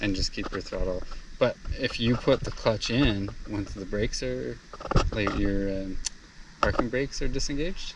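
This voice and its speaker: A man at a moderate pace with long, frequent pauses, a dry sound with no echo, and noticeable background noise. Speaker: driving instructor. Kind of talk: casual instruction. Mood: calm, reassuring. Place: open country. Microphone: phone near.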